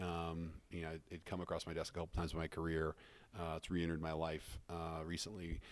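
A man with an American accent speaks at a fairly quick pace in a very deep, low voice and a flat monotone, on a very clean recording with a silent background. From Colorado, US. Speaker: tech startup CEO. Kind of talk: podcast interview.

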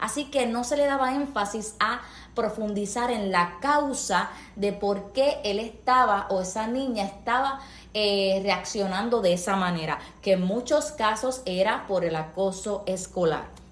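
Over noticeable background noise and audible room echo, a woman talks fairly slowly at a fairly high pitch with ordinary pitch variation. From Puerto Rico. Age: 30s. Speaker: nurse and counselor. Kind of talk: testimony.

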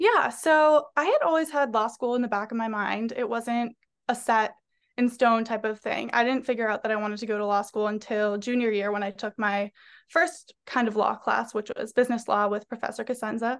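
A woman with an American accent in a plain, everyday voice, fairly high in pitch with ordinary variation, at a fairly quick pace over a quiet background. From Massachusetts, North Andover near Boston. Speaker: recent graduate, future law student. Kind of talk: casual interview.

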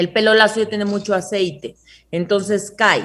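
A woman's ordinary speaking voice sits at a fairly high pitch and moves at a fairly slow pace. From Mexico. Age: 30s. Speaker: hair care entrepreneur. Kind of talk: interview. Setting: video call.

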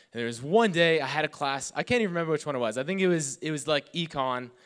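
A man with a normal speaking voice talks at a fairly quick pace with ordinary pitch variation in a very clean recording with a silent background. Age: 20s. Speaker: youth pastor. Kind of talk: sermon. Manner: casual.

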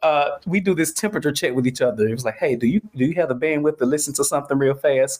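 A fairly high-pitched man with an American accent talks at a very fast pace with hardly any pauses. His loudness is very even, his pitch variation ordinary, and background noise is noticeable. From Atlanta, US South. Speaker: studio owner. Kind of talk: casual chat. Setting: remote call.

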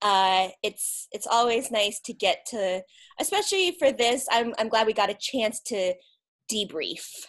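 A woman with an American accent has an ordinary speaking voice at a fairly high pitch. She talks at a fairly slow pace with ordinary pitch variation. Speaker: podcast host guest. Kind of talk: casual chat.

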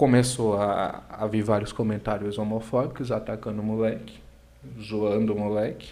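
In a very clean recording with a silent background, a man speaks at a moderate pace in a fairly low pitch, his intonation monotone and flat. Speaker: comedian. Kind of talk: casual chat. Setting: livestream.

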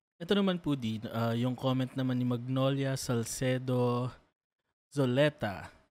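An unremarkable speaking voice, a man talks at a fairly slow pace with ordinary pitch variation on a very clean recording with a silent background. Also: medium pitch for a man. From Philippines. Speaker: co-host reading viewer comments. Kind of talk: casual panel discussion.

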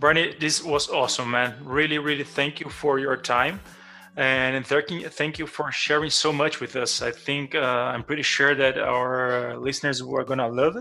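A man speaks with a Portuguese accent at a moderate pace. His pitch is fairly high and his intonation fairly even. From Brazil. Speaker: podcast host. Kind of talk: interview. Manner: halting.

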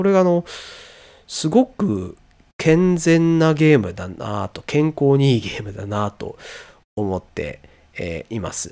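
This man's fairly high voice moves at a moderate pace with very wide pitch swings. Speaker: solo podcaster, software engineer. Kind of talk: solo monologue podcast. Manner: hesitant, many filler sounds. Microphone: noise gate clipping quiet parts of speech.

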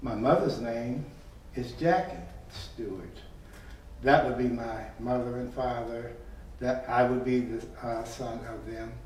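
Against audible room echo and noticeable background noise, a man with an American accent speaks at a fairly slow pace, with long, frequent pauses and big swings in loudness. His pitch is medium and his intonation fairly even. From Chicago. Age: 80s+. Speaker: church member. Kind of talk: casual interview.

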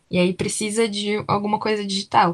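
This voice sits at a medium pitch. It belongs to a woman. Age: 20s. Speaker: university student. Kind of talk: casual chat.

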